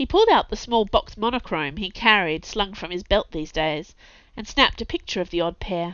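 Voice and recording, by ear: With lively intonation, the speaker is reading aloud in a natural voice.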